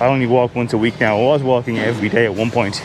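The voice moves at a fairly quick pace over noticeable background noise, with a dry sound and no echo. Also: man. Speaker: vlogger. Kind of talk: casual vlog chat. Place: open country. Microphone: phone near.

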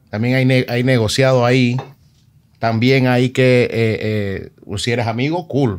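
The recording is very clean, with a silent background. A man with a normal speaking voice talks at a medium pitch with fairly even intonation. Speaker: DJ and interview show host. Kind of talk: casual interview.

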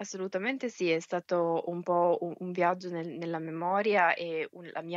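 Using an ordinary speaking voice, a woman talks at a moderate pace and a fairly low pitch, with fairly even intonation and a dry, close sound with no echo. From Milan, northern Italy. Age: 30s. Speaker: scientist and author. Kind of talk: interview.

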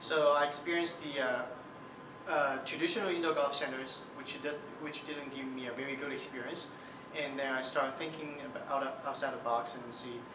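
A man talks at a fairly quick pace with fairly even intonation. Background noise is noticeable. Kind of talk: interview answer.

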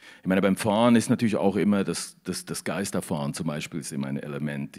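The background stays quiet. Against it, a man's voice carries vocal fry. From Switzerland. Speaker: novelist. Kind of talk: author interview. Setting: studio in a canteen, livestream. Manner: halting, many repeated words. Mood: reflective, thoughtful. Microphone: handheld.

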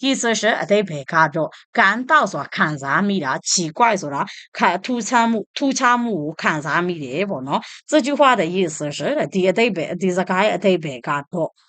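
Against a quiet background, a woman with a Burmese accent speaks with very wide pitch swings. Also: medium pitch for a woman, moderate pace. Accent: Burmese-accented Mandarin. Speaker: language teacher. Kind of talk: tutorial.

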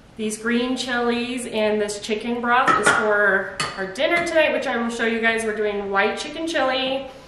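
Noticeable background noise and audible room echo surround a woman whose pitch varies in an ordinary way. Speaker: mom vlogger. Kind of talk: casual vlog chat. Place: kitchen. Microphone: camera far.

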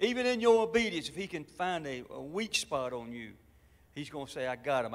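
A man with a Southern US accent and very wide swings in pitch. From US South. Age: old. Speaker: pastor. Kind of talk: sermon. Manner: animated. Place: church. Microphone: handheld.

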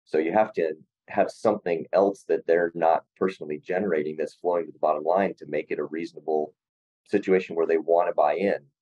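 Against a quiet background, a man with an American accent talks at a fairly quick pace with big swings in loudness. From US Midwest, South Dakota (Rapid City); South Dakota. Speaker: facial plastic surgeon; guest. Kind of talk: casual interview. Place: office. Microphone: video call.

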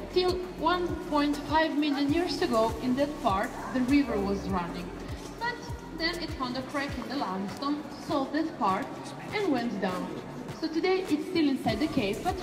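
Her pitch is high and her pace moderate. Clear music plays behind the woman. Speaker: cave tour guide. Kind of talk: guided tour explanation. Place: tunnel cave. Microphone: camera far.

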